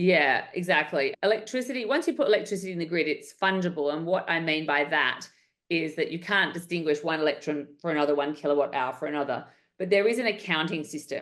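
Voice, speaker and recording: A woman talks very fast with an Australian accent. Her pitch is fairly low and her intonation lively. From Western Australia. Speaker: entrepreneur. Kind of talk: interview.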